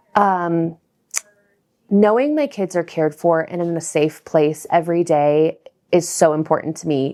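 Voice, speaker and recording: Her voice is fairly low for a woman, with a dark, mellow tone. She speaks at a fairly slow pace. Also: ordinary pitch variation. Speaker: school parent. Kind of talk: interview. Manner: halting.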